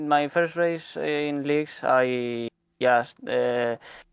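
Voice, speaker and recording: Someone with a non-native accent speaks at a very slow pace with ordinary pitch variation. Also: man. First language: not English. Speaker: sim racing driver. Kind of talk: post-race interview. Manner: halting.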